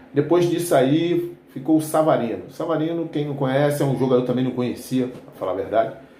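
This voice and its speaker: Man of medium pitch, relaxed tone and fairly quick pace, ordinary pitch variation, audible room echo and noticeable background noise. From Rio de Janeiro suburbs, Brazil. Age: 60s. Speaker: football fan commentator, retired army veteran. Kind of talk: casual football commentary vlog. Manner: relaxed, conversational with frequent fillers.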